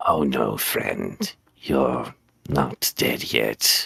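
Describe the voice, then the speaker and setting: Using a put-on character voice, a man speaks at a very deep, low pitch. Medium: actual play. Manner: calm, polite.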